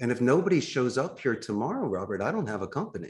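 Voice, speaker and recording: Talking at a fairly quick pace, a man speaks with a Philadelphia accent. His pitch is medium. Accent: Philadelphia American English. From US Northeast, Philadelphia. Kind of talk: podcast interview. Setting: remote call.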